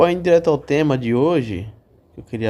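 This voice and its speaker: Lively in intonation, a man's fairly high voice carries a dark, mellow tone. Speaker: waiter and podcast host. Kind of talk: casual monologue podcast. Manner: halting, with repetitions.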